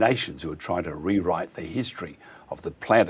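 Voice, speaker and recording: At a moderate pace, a man with an Australian accent talks with ordinary pitch variation. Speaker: radio host. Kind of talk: radio interview.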